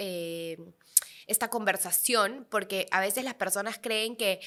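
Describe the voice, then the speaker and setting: A bright, sharp tone comes through at a fairly slow pace in a very clean recording with a silent background. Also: woman. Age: 30s. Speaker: podcast host and entrepreneur. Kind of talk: interview podcast.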